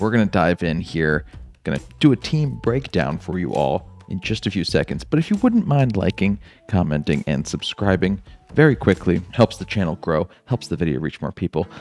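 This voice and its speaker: A quiet man's voice at a very deep, low pitch with very wide pitch swings, at a moderate pace, dry and close with no echo, with music in the background. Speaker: gaming YouTuber. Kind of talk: video game commentary. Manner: quiet, low voice.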